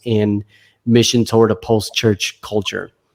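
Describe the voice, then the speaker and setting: At a moderate pace, a man speaks with a New Jersey accent. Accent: American, New Jersey. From US Northeast, New Jersey. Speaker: pastor and author. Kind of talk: interview conversation.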